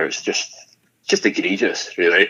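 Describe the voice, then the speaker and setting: A man with a Highland Scottish accent at a fairly quick pace. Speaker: political commentator. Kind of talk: radio interview. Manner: halting.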